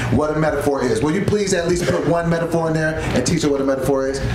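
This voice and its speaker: Over noticeable background noise and audible room echo, a man talks at a very fast pace with ordinary pitch variation. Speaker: show host. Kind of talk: casual show hosting banter. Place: studio.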